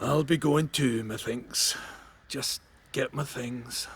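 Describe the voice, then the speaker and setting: A man's raspy, put-on character voice, medium in pitch, with fairly even intonation and a very slow pace. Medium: video game. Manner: homely, blunt.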